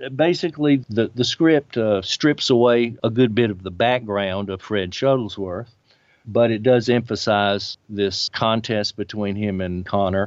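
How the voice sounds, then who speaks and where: A man has a plain, everyday voice with an American accent, fairly low in pitch, with ordinary pitch variation at a fairly slow pace. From US South, Birmingham, Alabama. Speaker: religious history professor and author. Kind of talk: interview.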